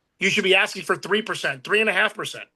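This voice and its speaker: A man speaks very fast in a raised, projected voice with a bright, sharp tone. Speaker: real estate sales trainer. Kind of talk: motivational training talk. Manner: animated.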